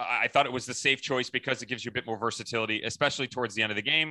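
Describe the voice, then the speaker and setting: At a very fast pace, a man speaks at a medium pitch with a bright, sharp tone over a quiet background. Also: dry, close sound with no echo. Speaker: soccer podcast co-host. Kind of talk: casual chat. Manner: loud.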